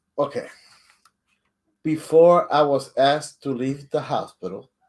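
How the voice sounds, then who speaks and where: A man with a fairly high pitch and ordinary pitch variation, talking at a fairly slow pace. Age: 60s. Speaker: co-host and storyteller. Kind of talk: casual storytelling in a live stream. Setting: live stream. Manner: halting, repeats words.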